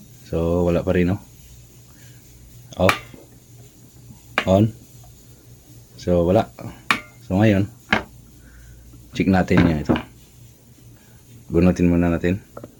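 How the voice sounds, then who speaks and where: Over noticeable background noise, a man talks with a very deep, low pitch and monotone, flat intonation. He leaves long, frequent pauses. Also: fairly slow pace. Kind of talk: tutorial. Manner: casual, conversational.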